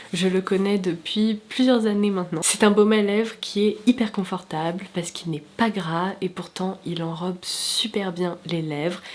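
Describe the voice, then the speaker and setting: Noticeable background noise surrounds a woman's voice. She speaks fairly slowly at a medium pitch. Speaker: beauty YouTuber. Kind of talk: product review vlog. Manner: enthusiastic, chatty.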